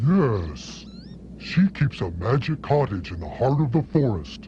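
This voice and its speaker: A man's put-on character voice at medium pitch, fairly slow, with very wide pitch swings and clear background noise. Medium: short film. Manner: folksy, avuncular.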